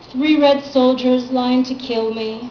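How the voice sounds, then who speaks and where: A woman's fairly high-pitched voice, with music in the background. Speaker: poet. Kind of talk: poetry reading. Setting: live venue with audience.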